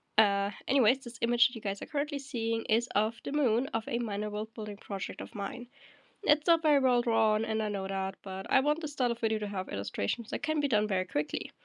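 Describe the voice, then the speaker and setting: Over a quiet background, a woman speaks at a very fast pace. Her pitch sits fairly high. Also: ordinary pitch variation, dry, close sound with no echo. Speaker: worldbuilding video creator. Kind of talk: scripted talk with asides. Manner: hesitant, many fillers.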